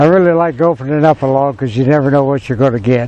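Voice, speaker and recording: Noticeable background noise behind a man's fairly high pitch and fairly even intonation. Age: 70s. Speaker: sawmill operator. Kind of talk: casual interview talk.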